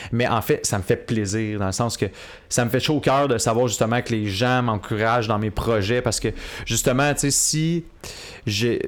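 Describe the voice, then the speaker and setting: This is a plain, everyday voice. A man speaks at a moderate pace with ordinary pitch variation. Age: 20s. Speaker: media personality. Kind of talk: casual chat. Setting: coworking space studio.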